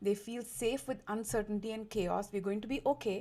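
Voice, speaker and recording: A woman speaks at a fairly quick pace with an Indian accent. Her voice is fairly high in pitch, with a dark, mellow tone. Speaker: diversity and inclusion consultant, lawyer. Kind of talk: interview. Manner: animated.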